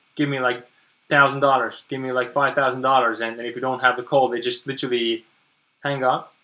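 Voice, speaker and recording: Talking at a fairly quick pace, a man with a non-native accent has a medium-pitched voice with a bright, sharp tone. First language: not English. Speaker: online business coach. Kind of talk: webinar presentation. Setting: live webinar stream. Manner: halting, many repetitions and fillers.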